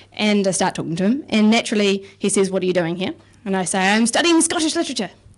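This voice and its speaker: A woman at medium pitch with a New Zealand accent, very fast pace and very wide pitch swings. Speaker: comedian. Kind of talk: stand-up. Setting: stage with audience.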